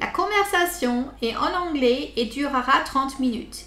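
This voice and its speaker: Raised and projected, a voice with a French accent speaks at a fairly slow pace with ordinary pitch variation and audible room echo. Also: woman. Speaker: interviewer. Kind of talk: interview; scripted introduction. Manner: halting.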